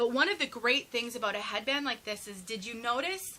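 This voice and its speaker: A woman talks at a fairly quick pace in a high pitch with a bright, sharp tone. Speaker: wig reviewer. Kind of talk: product review tutorial. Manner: fast; animated.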